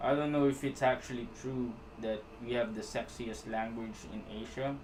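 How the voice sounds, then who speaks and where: With a strong Filipino accent, a man talks in a relaxed tone at medium pitch, his intonation fairly even and some room echo audible. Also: moderate pace. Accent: thick Filipino. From Philippines. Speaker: animator. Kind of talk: live stream chat while animating. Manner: casual, relaxed.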